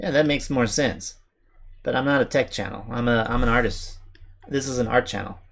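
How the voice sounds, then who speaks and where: Mumbling, a man talks at a fairly quick pace. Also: medium pitch for a man, ordinary pitch variation. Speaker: artist streamer. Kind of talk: casual live stream chat while drawing.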